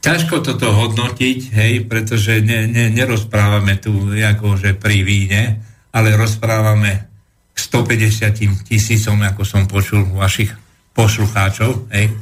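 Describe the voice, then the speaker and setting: With a fairly low pitch and somewhat breathy delivery, a man speaks at a fairly slow pace, his intonation fairly even and his loudness very even. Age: 70s. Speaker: historian and political commentator. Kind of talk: interview on history. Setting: radio studio.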